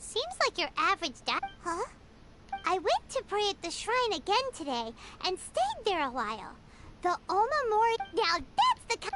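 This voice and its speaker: A put-on character voice with an extremely high pitch speaks at a moderate pace, with long, frequent pauses. Loud background noise fills the recording. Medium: video game. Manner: curious.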